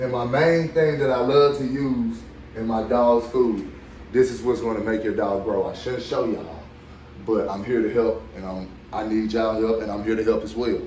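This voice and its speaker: Noticeable background noise and audible room echo surround a man speaking at a moderate pace and medium pitch, with ordinary pitch variation. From Arkansas. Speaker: dog breeder. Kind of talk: tutorial. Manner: casual, repetitive filler.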